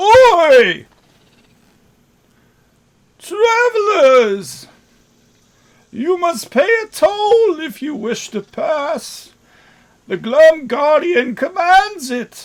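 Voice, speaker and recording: In a put-on, guttural character voice at an extremely high pitch, a man speaks very slowly with long, frequent pauses. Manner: gruff, demanding.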